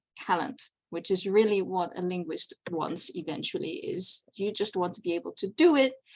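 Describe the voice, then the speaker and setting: A woman with a Dutch accent speaks at a moderate pace with lively intonation on a very clean recording with a silent background. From Netherlands. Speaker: convention panel presenter. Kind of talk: lecture.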